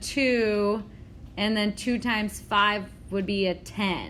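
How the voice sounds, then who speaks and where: Amid audible room echo, a woman speaks very slowly at a fairly high pitch with fairly even intonation. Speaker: math teacher. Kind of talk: classroom lecture. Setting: classroom with students. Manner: halting.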